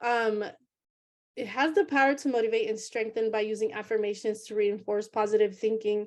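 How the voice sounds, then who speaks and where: Against a quiet background, a woman talks at a fairly high pitch with fairly even intonation. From US West Coast, Oakland, California. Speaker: entrepreneur pitching a business. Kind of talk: business pitch presentation. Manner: hesitant with many fillers.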